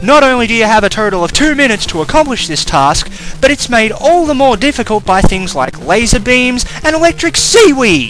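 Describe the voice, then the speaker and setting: The speaker's pitch swings very widely at a moderate pace. Music plays in the background. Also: man. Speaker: game reviewer. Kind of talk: video game review narration.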